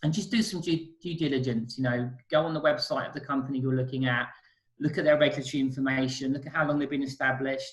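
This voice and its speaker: In a British accent, the voice runs at a very fast pace, somewhat breathy, with fairly even intonation. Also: man, fairly high pitch for a man. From UK. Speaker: currency exchange specialist. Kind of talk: interview.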